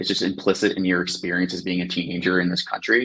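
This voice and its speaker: Talking at a very fast pace, a man with an American accent uses a very deep, low pitch. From grew up abroad, outside the US. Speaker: analytics engineer. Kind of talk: podcast interview.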